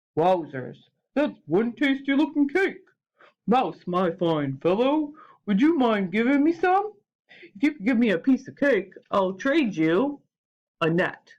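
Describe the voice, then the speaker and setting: Put-on character voice, fairly high in pitch, at a fairly slow pace with very wide pitch swings. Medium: read story.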